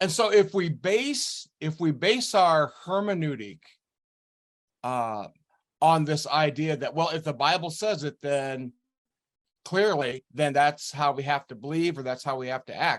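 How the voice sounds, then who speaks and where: A man's fairly high voice with lively intonation at a fairly slow pace, in a very clean recording with a silent background. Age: 60s. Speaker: retired pastor. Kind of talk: interview conversation. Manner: halting, many fillers.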